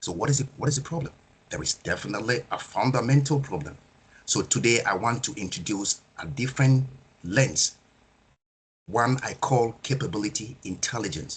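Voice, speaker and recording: The voice has vocal fry and lively intonation. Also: man, medium pitch for a man, moderate pace. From Nigeria. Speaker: project management speaker. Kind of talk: webinar presentation.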